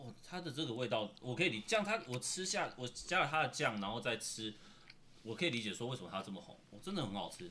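A man with a medium pitch rushes along at a very fast pace, his pitch swinging very wide. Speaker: podcast co-host. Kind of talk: casual chat while eating. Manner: quiet voice.

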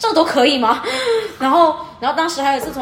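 A woman at a fairly quick pace with lively intonation, amid noticeable background noise and audible room echo. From Fujian, China. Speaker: PhD student studying abroad. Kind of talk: casual chat.

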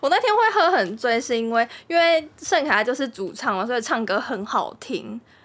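Over noticeable background noise, a woman with a high pitch speaks in very wide pitch swings, with hardly any pauses. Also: moderate pace. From Taiwan, Kaohsiung. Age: 20s. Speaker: host's partner. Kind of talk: casual chat.

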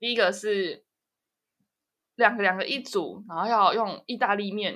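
Bright, sharp, medium-pitched female voice in a Taiwanese accent, the intonation fairly even. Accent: Taiwanese Mandarin. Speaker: podcast host. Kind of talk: casual chat.

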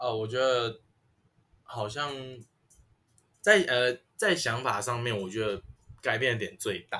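A man's bright, sharp tone, ordinary pitch variation, fairly slow pace, and long, frequent pauses. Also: medium pitch for a man. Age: 20s. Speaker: podcaster, college student. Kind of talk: casual chat.

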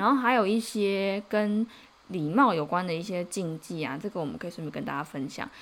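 A woman speaks in an ordinary speaking voice at a medium pitch. Her intonation is lively. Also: fairly quick pace. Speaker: podcast host, Korean translator. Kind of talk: casual chat.

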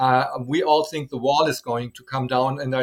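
Speaking with a German accent, a man uses a medium pitch, ordinary pitch variation and a moderate pace. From West Germany (Dortmund). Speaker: German teacher. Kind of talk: interview. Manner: halting.

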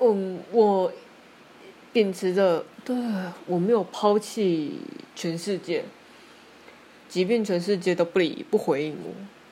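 A woman talks at a very slow pace, her pitch medium with ordinary variation. She leaves long, frequent pauses. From Taiwan. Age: 30s. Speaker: podcaster. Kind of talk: solo monologue. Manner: halting, many fillers.

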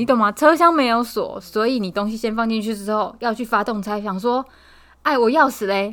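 A woman speaks at a moderate pace in a fairly high voice. Her pitch varies in an ordinary way. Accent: Taiwanese. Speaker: podcast co-host. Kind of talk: casual chat.

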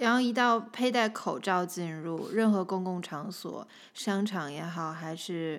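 Using a normal speaking voice, a woman talks at a fairly slow pace with a fairly low pitch and ordinary pitch variation. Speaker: host's wife. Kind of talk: casual chat.

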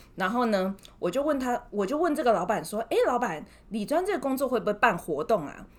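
With very wide pitch swings, a woman talks at a fairly quick pace. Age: 30s. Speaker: former bank wealth manager. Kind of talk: casual interview.

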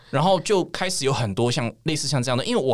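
A man is speaking. His pace is fairly quick. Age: 30s. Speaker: craft brewery founder. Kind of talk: casual chat.

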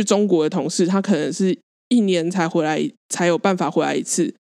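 A woman speaks at medium pitch and a moderate pace. The background is quiet. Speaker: podcast co-host. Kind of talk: casual chat.

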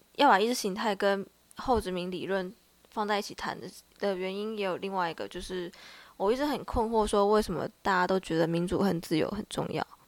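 A woman with an ordinary speaking voice talks at a fairly quick pace and medium pitch, with ordinary pitch variation. The recording is very clean, with a silent background. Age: 20s. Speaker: student podcast co-host. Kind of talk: casual discussion.

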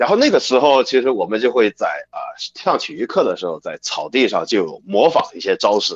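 Moderate pace from a man, with hardly any pauses and a dry, close sound with no echo. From China. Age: 20s. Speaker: professional wrestler. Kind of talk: interview.

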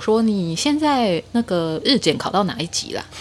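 A woman's voice with very wide pitch swings. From Taiwan. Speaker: guest sharing personal story. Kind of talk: casual chat.

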